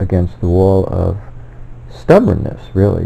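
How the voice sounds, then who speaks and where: There is a male voice here. Behind him, background noise is clearly audible. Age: 60s. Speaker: self-published author and theorist. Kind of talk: personal monologue. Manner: halting, with many fillers and self-corrections.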